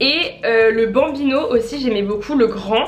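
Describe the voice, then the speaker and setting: The voice moves at a moderate pace with fairly even intonation. Noticeable background noise and audible room echo come through. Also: woman. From France. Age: 20s. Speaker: fashion YouTuber. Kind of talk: unboxing vlog. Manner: casual, filler-heavy.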